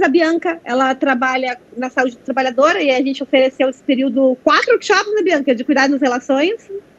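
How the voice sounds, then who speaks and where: A woman's high-pitched voice moves with lively intonation while noticeable background noise carries on behind it. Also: hardly any pauses, big swings in loudness. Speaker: veterinarian presenting a workshop. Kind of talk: online training presentation. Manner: fast.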